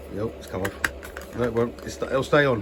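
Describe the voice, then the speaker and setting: A man talks at a medium pitch and a moderate pace, with lively intonation. Noticeable background noise can be heard. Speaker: model railway hobbyist vlogger. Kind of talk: casual hobby vlog.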